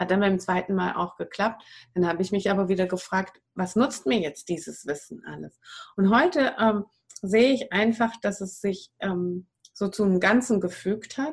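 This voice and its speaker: A somewhat breathy voice at a moderate pace. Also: woman, medium pitch for a woman, ordinary pitch variation. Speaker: wild plant and raw food advisor. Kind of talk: interview. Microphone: poor audio quality.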